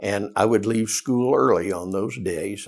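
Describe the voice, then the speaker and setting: A man with a Southern US accent speaks in a fairly low voice. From US South. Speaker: retired teacher and principal. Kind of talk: oral history interview. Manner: halting.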